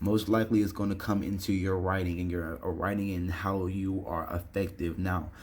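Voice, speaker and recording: With audible room echo around it, the voice moves along with hardly any pauses and fairly even intonation. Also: man, very deep, low pitch for a man. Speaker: online English instructor. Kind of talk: tutorial. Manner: fast; casual with filler words.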